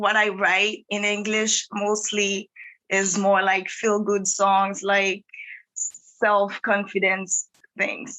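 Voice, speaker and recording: Speaking in a Haitian accent, a woman talks at a very slow pace with monotone, flat intonation and very even loudness. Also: medium pitch for a woman. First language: Haitian Creole. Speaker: singer-songwriter. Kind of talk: interview.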